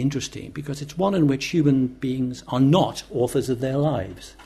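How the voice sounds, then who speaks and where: A man talks at a moderate pace and a medium pitch. His voice is somewhat breathy. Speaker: professor and author. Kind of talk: panel discussion.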